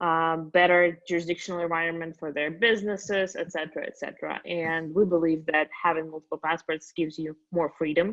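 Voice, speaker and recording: With hardly any pauses, a woman talks in a monotone, flat intonation at a fairly low pitch. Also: fairly quick pace. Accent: Russian. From Russia. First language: Russian. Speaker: company founder. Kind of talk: interview podcast.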